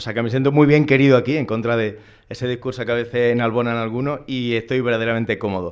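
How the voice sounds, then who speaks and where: A man's medium-pitched voice in an Andalusian accent, fairly even in intonation and very fast in pace. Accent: Andalusian (Seville). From Andalusia, Seville. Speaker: academic moderator. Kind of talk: conference introduction.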